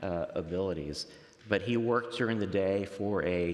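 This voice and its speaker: Very deep and low-pitched, a man talks at a fairly slow pace with audible room echo around him. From Miami, Florida (Cuban-American family). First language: Spanish. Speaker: faith story guest, professional. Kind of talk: interview testimony. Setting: church nave.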